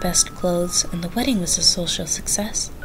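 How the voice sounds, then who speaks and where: Music plays in the background as a woman talks at a fairly quick pace. Her pitch is fairly low and her intonation fairly even. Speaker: storyteller. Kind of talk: reading aloud.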